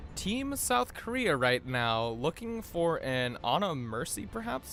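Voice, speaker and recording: With music in the background, a man talks with hardly any pauses. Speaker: esports shoutcaster. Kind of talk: play-by-play esports commentary.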